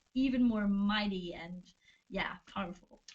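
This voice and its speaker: Somewhat breathy and medium in pitch, a woman with a Swedish accent speaks at a moderate pace with fairly even intonation. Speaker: band member. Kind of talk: livestream Q&A chat. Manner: halting.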